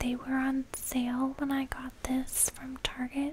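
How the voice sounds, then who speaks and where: A soft-spoken woman with a high voice talks at a very slow pace over noticeable background noise. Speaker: home lifestyle creator. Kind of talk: casual vlog chat. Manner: soft-spoken, quiet close-mic ASMR voice. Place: home room. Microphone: studio mic.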